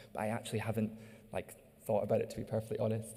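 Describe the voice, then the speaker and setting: A man's fairly low voice with a dark, mellow tone. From Scotland. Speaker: artist-designer presenting research. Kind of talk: audience Q&A. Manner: halting, many fillers.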